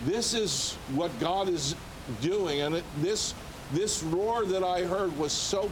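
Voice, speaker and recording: An American accent comes through amid noticeable background noise and audible room echo. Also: man. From United States. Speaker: ministry leader and former Olympic athlete. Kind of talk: TV interview testimony.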